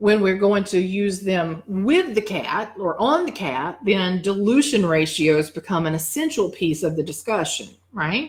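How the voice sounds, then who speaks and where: A woman has a normal speaking voice at a medium pitch. She talks at a fairly slow pace. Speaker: dog wellness educator. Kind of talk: live teaching session.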